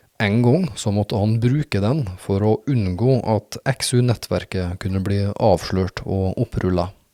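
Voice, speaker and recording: Over a silent background in a very clean recording, a man speaks fairly slowly with hardly any pauses, his dark, mellow tone sitting at a fairly low pitch with ordinary pitch variation. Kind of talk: documentary narration.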